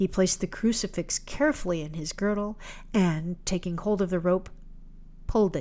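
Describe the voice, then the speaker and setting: A woman speaks in an unremarkable speaking voice at a medium pitch with ordinary pitch variation. The recording is very clean, with a silent background. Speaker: podcast host and author. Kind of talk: ghost story audiobook reading, narrated aloud from a text. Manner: hushed, slow, atmospheric storyteller.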